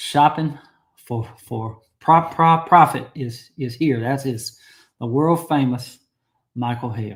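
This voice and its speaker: A man's somewhat breathy, medium-pitched voice at a very slow pace. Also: ordinary pitch variation. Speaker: knife collector livestream host. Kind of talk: live stream chat reading viewer comments. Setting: livestream. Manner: casual, repetitive, halting.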